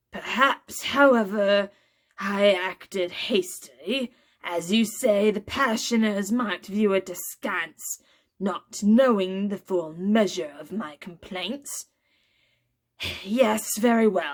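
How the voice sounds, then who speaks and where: A woman speaks in a put-on character voice. Her pace is fairly slow, with ordinary pitch variation. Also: medium pitch for a woman. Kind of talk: pompous clergyman. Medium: read story. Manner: formal, stiff.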